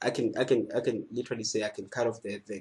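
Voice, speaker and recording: A somewhat breathy man's voice at medium pitch. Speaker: music production tutor. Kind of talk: tutorial. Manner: fast.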